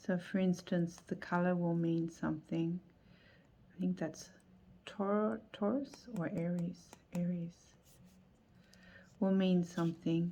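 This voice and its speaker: A woman's fairly low, somewhat breathy voice with a dark, mellow tone, fairly even intonation, a very slow pace, and long, frequent pauses. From Australia. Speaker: tarot youtuber. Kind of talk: casual video review. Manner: unhurried, thinking aloud.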